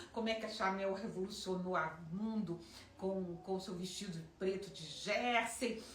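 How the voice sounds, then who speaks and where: In audible room echo with noticeable background noise, a woman of medium pitch speaks at a fairly slow pace with ordinary pitch variation. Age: 60s. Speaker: fashion designer. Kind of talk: personal storytelling.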